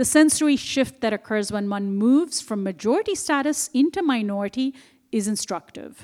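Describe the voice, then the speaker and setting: The delivery moves at a moderate pace with lively intonation. The recording is very clean, with a silent background. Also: woman, high pitch for a woman. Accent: Indian. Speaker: author and journalist. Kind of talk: book talk interview. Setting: stage with audience.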